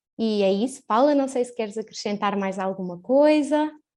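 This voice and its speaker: A woman with a European Portuguese accent, fairly high in pitch, with ordinary pitch variation. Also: big swings in loudness. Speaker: webinar host, marketing staff. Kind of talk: webinar moderation. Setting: live online webinar.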